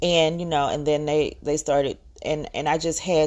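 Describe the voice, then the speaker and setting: A woman speaks at a moderate pace in a strong Southern US accent, her pitch very deep and low. The recording is very clean, with a silent background. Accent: Southern US, heavy. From US South, Georgia. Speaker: podcaster. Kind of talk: solo rant. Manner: hesitant, many filler words.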